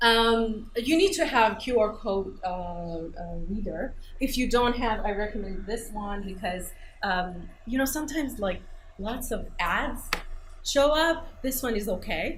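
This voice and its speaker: In a non-native accent, a woman speaks fairly slowly with lively intonation at a fairly high pitch, and audible room echo surrounds her voice. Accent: foreign accent, judged for it. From Iran. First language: Persian. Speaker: English teacher and researcher. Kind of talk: conference workshop presentation. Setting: conference room with audience. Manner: hesitant, many fillers.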